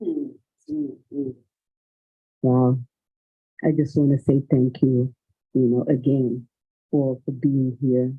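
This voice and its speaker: A man with a Malian accent speaks very slowly in a medium pitch and a flat, monotone intonation, leaving long, frequent pauses while music plays in the background. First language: Bambara. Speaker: writer. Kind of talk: panel discussion.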